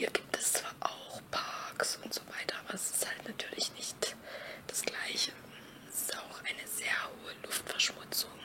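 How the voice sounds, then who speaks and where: Someone whispers at a fairly slow pace, with long, frequent pauses. Noticeable background noise is present. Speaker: ASMR creator. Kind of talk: casual whispered vlog. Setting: noisy background. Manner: whispered.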